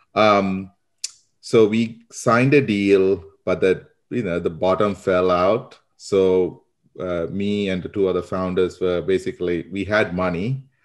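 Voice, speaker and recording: A man's very deep, low pitch, fairly even intonation and fairly slow pace, in a Sri Lankan accent, over a quiet background. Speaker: marketing consultant. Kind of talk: interview.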